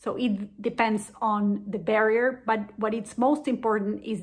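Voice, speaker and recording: A woman with a Spanish accent speaks at a fairly slow pace in a fairly high voice, her intonation fairly even and somewhat breathy. The recording is very clean, with a silent background. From Venezuela. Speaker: diabetes education program manager. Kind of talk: educational explainer.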